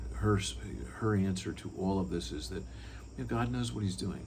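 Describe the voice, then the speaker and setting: Vocal fry runs through a man's voice, heard with audible room echo. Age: 60s. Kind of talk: personal testimony talk. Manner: conversational with frequent fillers and repeats.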